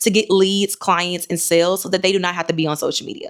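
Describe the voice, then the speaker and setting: At a very fast pace, a woman talks in a medium-pitched voice. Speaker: YouTube marketing coach for entrepreneurs and authors. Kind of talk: unscripted talking-head video tutorial. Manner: fast, sometimes fumbling over words; rambling, conversational.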